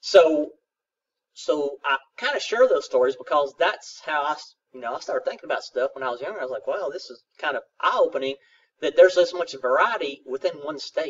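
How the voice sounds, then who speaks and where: A man with a strong Southern US accent and big swings in loudness. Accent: thick Southern. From South Central Kentucky, US. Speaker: college geography instructor. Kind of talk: recorded lecture. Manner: casual, hesitant with fillers.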